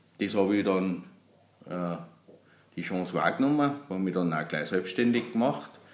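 With long, frequent pauses, a man with a very deep, low pitch speaks at a moderate pace amid audible room echo. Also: ordinary pitch variation. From Austria, Salzburg region (Pinzgau). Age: 40s. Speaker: accordion maker and musician. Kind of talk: interview.

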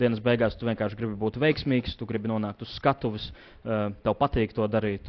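A man talks in an ordinary speaking voice at a medium pitch. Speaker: esports coach. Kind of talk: interview.

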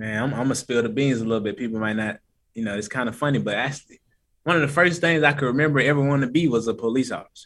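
A man with an American accent talks at a very fast pace in a medium pitch with ordinary pitch variation. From US South (East Atlanta, Georgia). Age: young. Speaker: podcaster. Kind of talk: casual chat.

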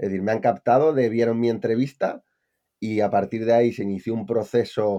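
Against a quiet background, a man at medium pitch speaks in a dark, mellow tone with monotone, flat intonation. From Spain, Palencia (Castile and León). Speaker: e-commerce entrepreneur. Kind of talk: casual interview.

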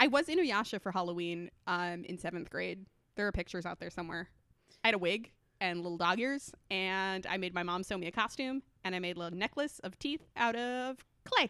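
A woman with a medium pitch and a bright, sharp tone speaks at a fairly quick pace with lively intonation, in a very clean recording with a silent background. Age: 20s. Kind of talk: casual chat. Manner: animated.

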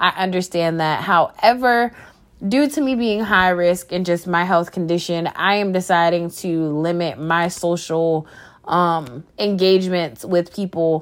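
In a very clean recording with a silent background, a woman with an American accent speaks at a fairly slow pace in a fairly low voice with ordinary pitch variation. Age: 20s. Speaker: podcaster and small business owner. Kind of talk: personal monologue. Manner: rambling.

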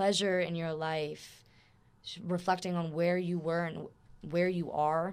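On a very clean recording with a silent background, a woman with an American accent speaks fairly slowly in a fairly low pitch, her intonation monotone and flat. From Florida, with years in Germany and Austria. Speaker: veterinary student. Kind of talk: casual chat. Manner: loud.

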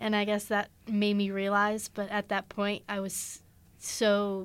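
Against a silent background in a very clean recording, a woman with an American accent speaks at a medium pitch. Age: young. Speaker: recent high school graduate. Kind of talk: casual chat.

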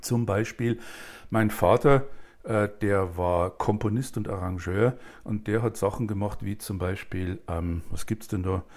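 The recording is very clean, with a silent background. A man talks very slowly at a fairly low pitch, with ordinary pitch variation. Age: 60s. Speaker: author, director and actor. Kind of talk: casual chat.

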